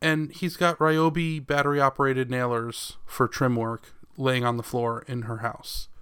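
A man with a normal speaking voice talks at a medium pitch and moderate pace, with ordinary pitch variation and hardly any pauses. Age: 30s. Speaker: podcast co-host. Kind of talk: casual chat.

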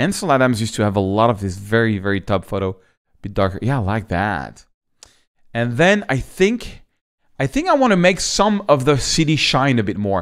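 A man with a French accent speaks at a fairly quick pace and medium pitch, his pitch swinging very widely, on a very clean recording with a silent background. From France. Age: 50s. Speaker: photographer and photography teacher. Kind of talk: tutorial. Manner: casual, slightly halting.

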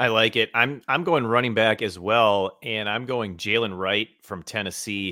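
In an unremarkable speaking voice of medium pitch, a man talks at a fairly slow pace with ordinary pitch variation and hardly any pauses. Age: 40s. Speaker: fantasy football podcast host. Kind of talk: casual chat.

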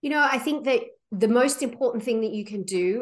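A woman with an Australian accent talks at a fairly quick pace. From Australia, Sydney. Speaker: travel company founder. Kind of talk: interview.

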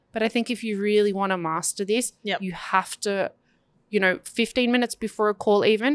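A woman's plain, everyday voice at medium pitch, moderate pace and fairly even intonation, with a dry, close sound, no echo, and a very clean recording on a silent background. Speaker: marketing podcast co-host. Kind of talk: casual business chat.

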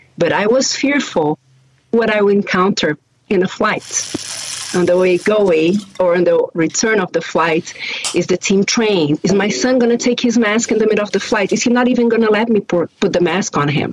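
With a slight Brazilian accent, a woman talks at a moderate pace and medium pitch. Her pitch varies in an ordinary way, and her loudness stays very even. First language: Portuguese. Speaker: airline sales director. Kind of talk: panel talk.

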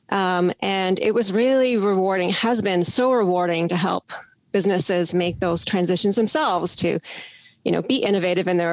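At a moderate pace, a woman with a Canadian accent and a plain, everyday voice speaks at a fairly low pitch with ordinary pitch variation, recorded very cleanly against a silent background. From Canada, Toronto. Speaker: business development manager. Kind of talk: interview.

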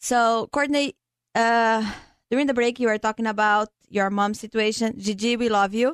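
Against a quiet background with a dry, close sound and no echo, a woman with a non-native accent speaks at a moderate pace, fairly high in pitch, with fairly even intonation and very even loudness. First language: not English. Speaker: insurance agent and radio co-host. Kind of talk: radio talk show.

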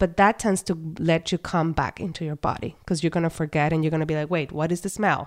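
On a very clean recording with a silent background, a woman speaks at a very fast pace with hardly any pauses. Her pitch is fairly low and her intonation fairly even. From Puerto Rico. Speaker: psychologist. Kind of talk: interview.

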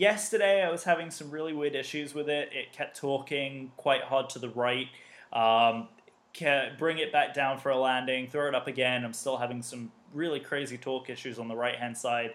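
A man with an English accent speaks in an enthusiastic, upbeat tone at a moderate pace. His pitch is fairly high, with ordinary variation. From British. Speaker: podcast panelist.

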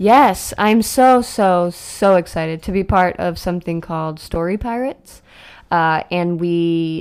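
Speaking at a fairly slow pace with an American accent, a woman has an unremarkable speaking voice and a fairly low pitch, captured in a very clean recording with a silent background. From Boston, then Florida. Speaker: comedian and actress. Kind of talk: casual chat.

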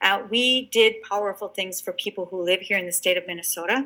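In an Upper Midwest accent, a woman speaks at a fairly quick pace with a medium pitch, a bright, sharp tone, and ordinary pitch variation. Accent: Upper Midwest American. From southern Wisconsin, Janesville. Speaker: state senator. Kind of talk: interview.

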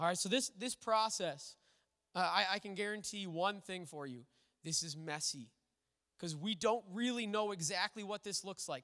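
A man with an American accent speaks in a raised, projected voice at a high pitch. His tone is bright and sharp, with ordinary pitch variation. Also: moderate pace. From Minnesota. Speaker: pastor. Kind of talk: sermon. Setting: church.

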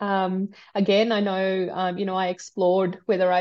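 Against a quiet background, a woman with an Australian accent speaks at a medium pitch in monotone, flat intonation. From Australia, migrated from India at nine. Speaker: sustainability executive. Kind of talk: interview. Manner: hesitant, many fillers.

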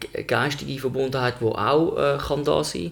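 Noticeable noise fills the background. A man speaks fairly slowly over it. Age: 30s. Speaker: podcast co-host. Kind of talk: casual chat. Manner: halting.

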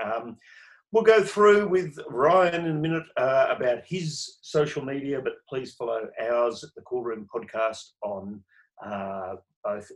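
A man with an Australian accent speaks slowly at a fairly high pitch, his pitch swinging very widely. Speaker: podcast host. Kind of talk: casual chat. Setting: video call.

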